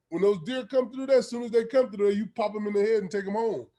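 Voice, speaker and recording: In a Louisiana accent, a man speaks with a dark, mellow tone and ordinary pitch variation. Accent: Southern US (Louisiana). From Louisiana, US South. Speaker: football coach. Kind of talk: coaching clinic talk.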